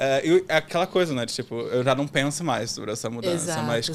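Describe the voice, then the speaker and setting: A man talks at a fairly quick pace with a Rio de Janeiro accent. His pitch is fairly high, with ordinary variation. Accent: Rio de Janeiro carioca. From Rio de Janeiro, Brazil.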